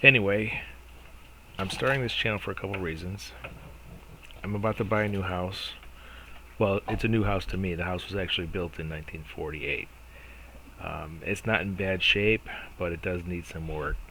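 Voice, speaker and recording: Speaking at a moderate pace, a man with a very deep, low voice shows ordinary pitch variation and takes long, frequent pauses. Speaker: DIY home renovation vlogger. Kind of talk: casual vlog intro to camera. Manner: mumbling, not enunciating clearly.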